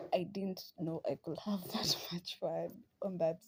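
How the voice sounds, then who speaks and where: At a moderate pace, a woman speaks in a fairly low pitch with a somewhat breathy, dark, mellow tone and ordinary pitch variation. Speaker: podcast host. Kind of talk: casual chat. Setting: at home, sister in the room. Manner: soft-spoken, near whisper.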